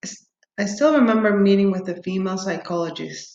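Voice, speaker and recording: Here a woman speaks with a Spanish accent. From Peru. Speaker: doctoral student. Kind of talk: prepared self-introduction, read aloud.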